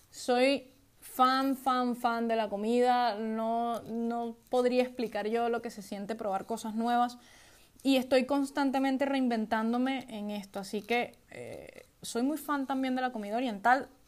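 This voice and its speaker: A woman talks at a fairly slow pace with a high pitch. Her intonation stays monotone and flat. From Venezuela. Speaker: podcast host, IT worker and gamer. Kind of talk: casual solo podcast monologue.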